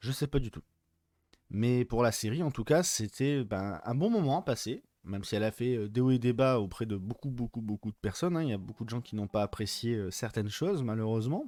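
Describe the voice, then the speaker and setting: A dark, mellow tone carries the words along fairly quickly. There is no echo, and the sound stays dry and close. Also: man, medium pitch for a man, ordinary pitch variation. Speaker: film and series reviewer. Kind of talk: casual video review. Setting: unusual location, not usual set. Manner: soft-spoken; hesitant, many fillers.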